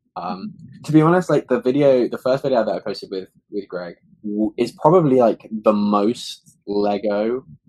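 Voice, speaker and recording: A man speaks at a moderate pace with a British accent. His pitch sits in the middle range. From UK. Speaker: guest. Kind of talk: casual chat. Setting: video call.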